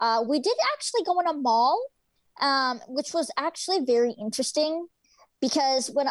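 In a very clean recording with a silent background, a woman speaks at a moderate pace in a high voice with ordinary pitch variation. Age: 20s. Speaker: guide dog user. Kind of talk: interview.

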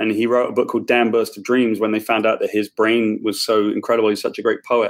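With a British accent, a man speaks very fast with hardly any pauses and very even loudness. The recording is very clean, with a silent background. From UK. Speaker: comic book writer. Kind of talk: casual interview chat. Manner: chatty, jokey.

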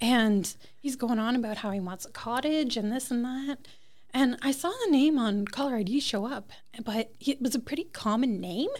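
With an Ontario accent, a woman speaks in a high voice at a moderate pace. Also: ordinary pitch variation. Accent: Canadian (Ontario). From Toronto, Canada. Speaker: cottage and restaurant owner. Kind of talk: interview. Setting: on location on a main street.

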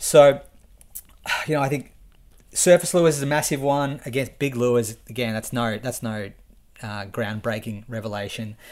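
On a very clean recording with a silent background, a man with an Australian accent speaks at a medium pitch with ordinary pitch variation. His moderate pace is broken by long, frequent pauses, and his loudness swings widely. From Victoria, Australia (Shepparton). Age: 30s. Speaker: angler. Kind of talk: casual chat. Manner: halting.

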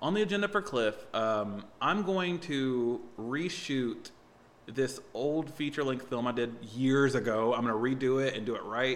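An unremarkable speaking voice from a man, medium in pitch, fairly slow and with lively intonation. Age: 30s. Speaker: comedian and musician. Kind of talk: casual chat.

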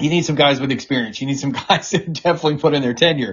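A somewhat breathy voice with an American accent. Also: man. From US South. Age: 40s. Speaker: political press secretary. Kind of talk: interview.

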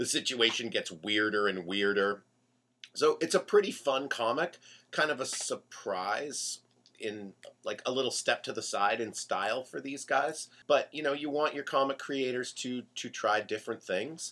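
With lively intonation and a bright, sharp tone, a man speaks at medium pitch and a moderate pace. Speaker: co-host comics fan. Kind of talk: casual radio chat. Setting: radio studio.

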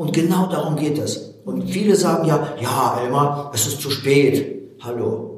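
With a Russian accent, a man speaks fairly slowly at a fairly high pitch with hardly any pauses, amid noticeable background noise and audible room echo. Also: ordinary pitch variation. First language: Russian (speaking German). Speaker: motivational speaker. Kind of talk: interview.

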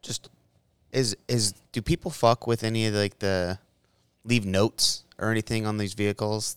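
The sound is dry and close with no echo as a man talks at a moderate pace with fairly even intonation. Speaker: podcast co-host, firearms training staff. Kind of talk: casual chat.

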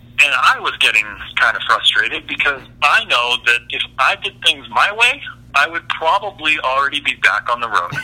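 Music can be heard in the background. Over it, a man speaks at a moderate pace. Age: 30s. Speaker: custom truck fabricator. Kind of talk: interview.

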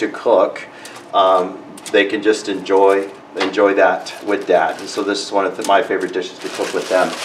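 A man speaks fairly slowly while background noise is noticeable. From South Texas, Mexican border (Reynosa). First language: Spanish. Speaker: nonprofit leader. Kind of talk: casual interview and cooking chat.

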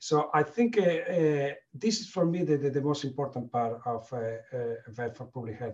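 A man speaks in a Spanish accent, somewhat breathy and fairly high in pitch. His pitch varies in an ordinary way. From Spain. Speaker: veterinarian, company manager. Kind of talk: panel discussion. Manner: halting.

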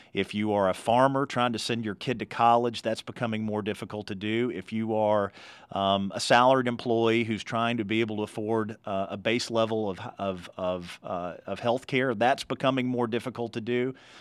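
Against a quiet background, a man with a rural Kentucky accent talks at a moderate pace and medium pitch, with fairly even intonation and hardly any pauses. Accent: Kentucky rural Southern. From Kentucky, Meade County. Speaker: politician. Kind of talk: interview.

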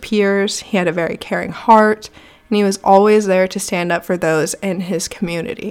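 In a Texan accent, a woman talks at a moderate pace with medium pitch and ordinary pitch variation. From Texas Panhandle, Amarillo. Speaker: podcast host. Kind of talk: true crime storytelling. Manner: chatty, upbeat.

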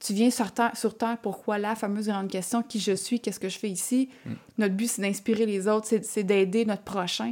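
Flat and monotone, a woman's fairly high voice moves at a moderate pace. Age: 30s. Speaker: entrepreneur. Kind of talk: casual interview.

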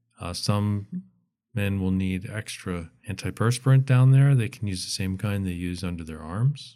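A man's fairly low, dark, mellow voice in a calm, relaxed tone, at a moderate pace with ordinary pitch variation and big swings in loudness. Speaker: retired pediatrician. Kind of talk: casual interview. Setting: studio.

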